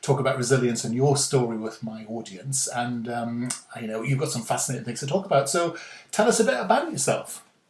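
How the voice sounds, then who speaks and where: Against noticeable background noise, a man with a Geordie accent speaks at a medium pitch and a fairly quick pace. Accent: posh Geordie. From northeast England. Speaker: podcast host. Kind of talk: podcast interview. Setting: video call.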